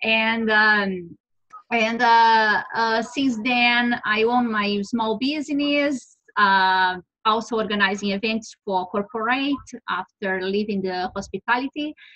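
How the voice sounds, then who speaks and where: Speaking with a Brazilian Portuguese accent, a woman has a fairly high pitch and a bright, sharp tone. She goes at a very slow pace with ordinary pitch variation. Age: 40s. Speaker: entrepreneur and author. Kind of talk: interview. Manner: halting, many fillers.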